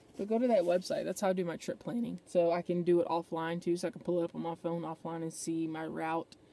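A woman's fairly low voice at a fairly quick pace, dry sound with no echo. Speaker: van life vlogger. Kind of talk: casual vlog chat. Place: car. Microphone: phone near.

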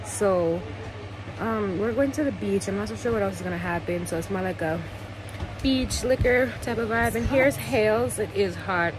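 Noticeable background noise surrounds a woman speaking, the sound dry with no echo. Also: moderate pace. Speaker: vlogger. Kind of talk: casual vlog chat. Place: home room. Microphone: phone near.

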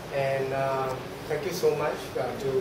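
A man is heard with noticeable background noise and audible room echo. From Malacca, Malaysia. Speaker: Peranakan culture speaker and artefact collector. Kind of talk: public talk / presentation. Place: meeting room. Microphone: camera far.

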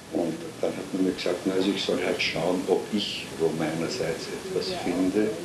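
The speaker is a man with a moderate pace. Noticeable background noise sits behind him. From Vienna, Austria. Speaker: writer and Holocaust-era refugee witness. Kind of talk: oral history interview answer. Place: home room.

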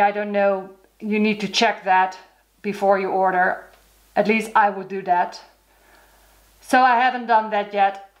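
With a Dutch accent, a woman speaks at a fairly slow pace and a fairly high pitch. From Netherlands. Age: 40s. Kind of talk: casual talk to camera.

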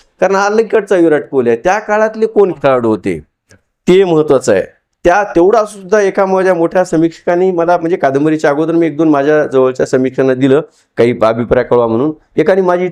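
A man's high-pitched voice has a dark, mellow tone, lively intonation and very even loudness. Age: 40s. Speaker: novelist and storyteller. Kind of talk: public interview on stage. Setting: event hall with audience.

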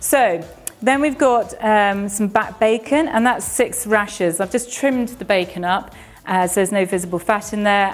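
A woman speaks with ordinary pitch variation. Faint music plays in the background. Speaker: presenter. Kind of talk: cooking tutorial. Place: kitchen.

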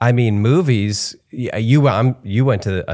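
The background stays quiet. Over it, a man talks very slowly. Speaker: podcast host. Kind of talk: casual interview. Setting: home studio. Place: home room. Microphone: studio mic.

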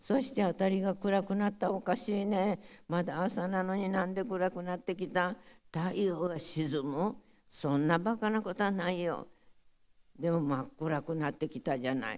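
Against a quiet background, a woman with a Hiroshima accent speaks with lively intonation. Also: moderate pace. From Hiroshima, Japan; Japan. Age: 90s. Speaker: atomic bomb survivor. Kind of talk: testimony. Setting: audience of school pupils. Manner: halting. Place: hall. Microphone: podium.

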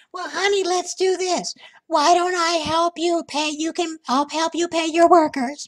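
A woman does a squeaky, put-on character voice at an extremely high pitch. She keeps a moderate pace and fairly even intonation in a dry, close sound with no echo. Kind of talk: comic put-on persona. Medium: voice reel. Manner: rambling, folksy, doting.

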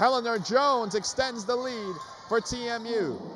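A man's high-pitched voice comes through against noticeable background noise. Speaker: sports commentator. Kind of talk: live play-by-play sports commentary. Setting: broadcast of a basketball game. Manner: excited, punchy calls on made baskets. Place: hall. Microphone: headset.

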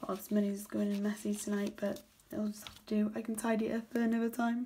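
A woman's very fast, fairly high-pitched voice in a British accent with monotone, flat intonation. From UK. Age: 20s. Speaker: budgeting vlogger. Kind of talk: casual tutorial, counting cash. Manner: low energy. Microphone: phone near.

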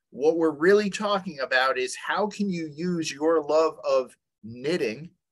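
A quiet background lies behind a man talking. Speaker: webinar presenter. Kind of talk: lecture. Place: home room. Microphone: webcam.

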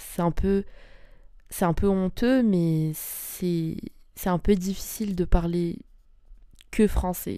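Very slow and fairly even in intonation, a woman speaks in a dark, mellow tone. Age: 20s. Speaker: podcast host. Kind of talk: casual monologue podcast. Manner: hesitant, many fillers.

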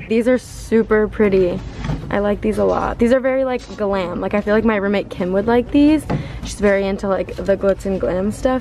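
A woman's pitch varies in an ordinary way over noticeable background noise. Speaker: vlogger. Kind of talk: casual vlog chat. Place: shop.

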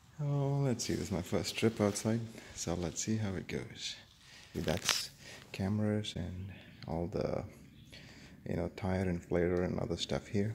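Over noticeable background noise, a man with a fairly low pitch and ordinary pitch variation talks at a fairly slow pace, with long, frequent pauses. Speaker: motorcycle vlogger. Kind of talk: casual vlog chat. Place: garage. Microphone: phone near.

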